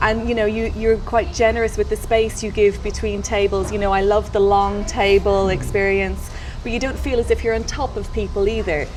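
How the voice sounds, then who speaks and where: Over noticeable background noise, a woman talks at a moderate pace with hardly any pauses. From Australia. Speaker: podcast host. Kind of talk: podcast interview, casual conversation.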